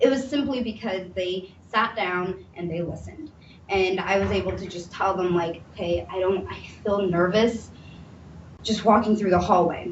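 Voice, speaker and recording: A woman speaks in a medium pitch with ordinary pitch variation, and room echo can be heard. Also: moderate pace. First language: Somali. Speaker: mental health panel speaker. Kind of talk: testimony. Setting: panel presentation with audience.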